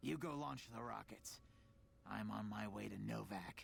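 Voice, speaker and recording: A man's raspy, very deep put-on character voice at a moderate pace, with clear background noise. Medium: video game. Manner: bitter, sardonic.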